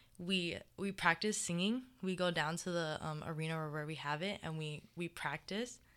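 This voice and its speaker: With a Hawaiian accent, a woman speaks at a fairly low pitch and a moderate pace, with hardly any pauses and ordinary pitch variation, on a very clean recording over a silent background. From Hawaii, Mililani on Oahu. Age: 18. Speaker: college student athlete. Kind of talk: casual interview.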